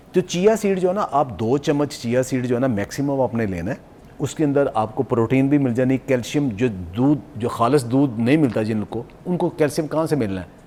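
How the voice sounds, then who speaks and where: Noticeable background noise sits behind a man speaking at a moderate pace. His pitch is medium and his intonation lively. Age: 60s. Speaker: nutrition expert. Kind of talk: TV morning show interview.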